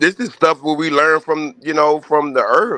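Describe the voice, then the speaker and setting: A man talks at a moderate pace. There is no echo, and the sound is dry and close. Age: 40s. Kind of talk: casual chat.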